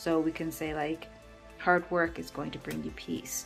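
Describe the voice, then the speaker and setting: With music in the background, a woman mumbles at a moderate pace. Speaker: tarot reader. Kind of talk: tutorial talk to camera. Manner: mumbling.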